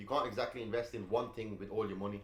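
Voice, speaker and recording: Audible room echo surrounds the voice. It moves at a very fast pace with monotone, flat intonation. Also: man. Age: 20s. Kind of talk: casual chat.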